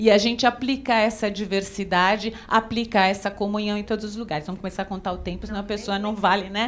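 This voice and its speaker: A woman with a fairly high voice talks at a fairly quick pace in an animated tone, with noticeable background noise. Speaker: dance researcher and professor. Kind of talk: conference lecture. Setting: auditorium with audience.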